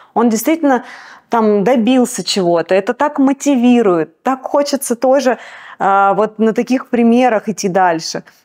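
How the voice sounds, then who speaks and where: In an ordinary speaking voice, a woman talks at a moderate pace with fairly high pitch and ordinary pitch variation, the recording very clean with a silent background and a dry, close sound with no echo. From Russia. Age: middle-aged. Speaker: singer and restaurant owner. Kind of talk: interview.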